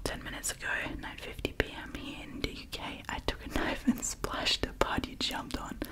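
A soft-spoken woman whispering at a fairly quick pace over loud background noise. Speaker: ASMR storyteller. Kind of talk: reading stories aloud softly. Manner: soft close-mic whisper reading. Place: home room. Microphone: studio mic.

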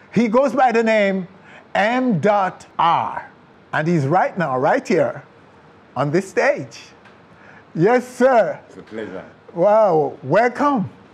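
Speaking very slowly with a Jamaican accent, a man leaves long, frequent pauses while his pitch swings very widely and his loudness rises and falls sharply. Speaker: TV interviewer. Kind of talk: interview. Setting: stage. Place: studio.

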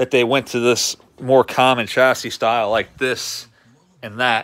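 A man is speaking. His intonation is flat and monotone. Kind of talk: casual vlog chat. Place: garage. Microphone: phone near.

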